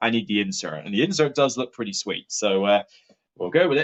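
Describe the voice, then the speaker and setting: Lively intonation in a Somerset accent. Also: man. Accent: Somerset rural accent, still present. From southwest England (Taunton, Somerset). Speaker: board game reviewer and streamer. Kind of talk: live-stream unboxing chat. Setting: live stream.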